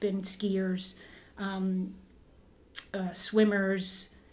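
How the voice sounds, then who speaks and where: With audible room echo, a woman with a Canadian accent speaks in a medium pitch, somewhat breathy. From Canada, Southern Ontario (Burlington); born in northern Ontario. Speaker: former Olympic runner, running coach and shoe shop owner. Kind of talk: casual interview.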